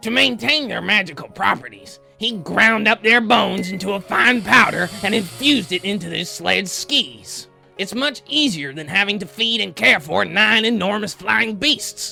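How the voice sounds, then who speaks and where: Faint music plays behind a man doing a put-on character voice with a high pitch and lively intonation. He keeps a moderate pace with hardly any pauses. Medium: comedy sketch. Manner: blustery, crude.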